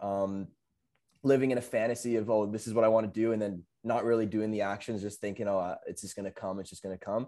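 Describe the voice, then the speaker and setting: A man with a normal speaking voice at a medium pitch, fairly even intonation and a fairly quick pace, on a very clean recording with a silent background. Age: 20s. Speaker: window cleaning business operator. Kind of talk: casual interview chat.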